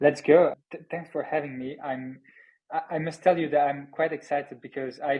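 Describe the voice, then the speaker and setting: A man with a French accent speaks at a moderate pace and fairly high pitch in a monotone, flat way, with big swings in loudness. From France. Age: 30s. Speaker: startup founder and CEO. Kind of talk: podcast interview. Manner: halting, repeats words.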